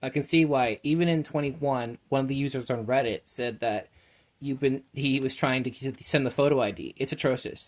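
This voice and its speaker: A man at a medium pitch, with fairly even intonation and a fairly quick pace. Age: 20s. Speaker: consumer vlogger complaining about an app. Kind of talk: angry complaint rant to camera. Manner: fast, stumbling speech.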